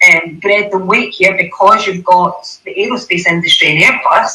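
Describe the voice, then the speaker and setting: With a Scottish accent, this woman's voice moves in very wide pitch swings. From Scotland. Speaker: panel speaker on hydrogen and aviation. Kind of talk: panel discussion.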